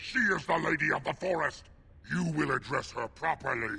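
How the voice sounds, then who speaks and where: Someone talks in a put-on character voice at a moderate pace. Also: man, high pitch for a man. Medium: video game. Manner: stern, guarded.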